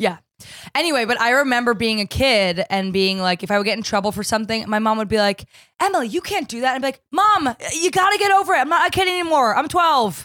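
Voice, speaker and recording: In an American accent, a woman with a high pitch and a bright, sharp tone rushes along at a very fast pace with very wide pitch swings. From New Jersey. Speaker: podcast host. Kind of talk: casual chat.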